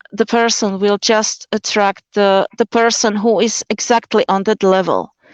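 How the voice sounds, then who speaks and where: Speaking with a Slovak accent, a woman uses a medium pitch. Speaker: convert sharing her marriage story. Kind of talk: interview on a live stream. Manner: halting, many fillers.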